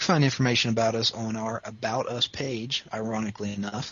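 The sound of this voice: A man speaks at a fairly low pitch, with a slightly husky edge. His pitch moves very little.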